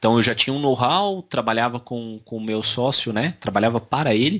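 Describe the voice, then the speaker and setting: Speaking at a moderate pace and medium pitch, a man with a slight Minas Gerais accent is heard in a very clean recording with a silent background. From Brazil, São Paulo (childhood), born Minas Gerais. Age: 30s. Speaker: digital marketing agency owner. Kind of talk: interview. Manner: hesitant, many fillers.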